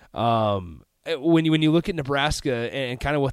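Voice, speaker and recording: A man with an unremarkable speaking voice talks at a fairly quick pace and medium pitch in a very clean recording with a silent background. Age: 20s. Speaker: sports radio host. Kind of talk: sports talk radio. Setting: radio studio.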